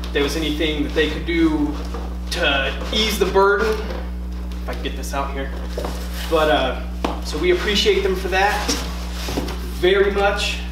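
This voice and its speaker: A man's speech broken by long, frequent pauses, with noticeable background noise. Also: fairly slow pace. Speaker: comic shop owner or staff. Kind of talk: casual product unboxing video. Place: shop. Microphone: camera far.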